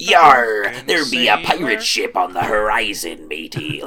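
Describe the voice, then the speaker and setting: Doing a put-on character voice, a man speaks at a medium pitch and a fairly slow pace over clear background noise. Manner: playful, theatrical.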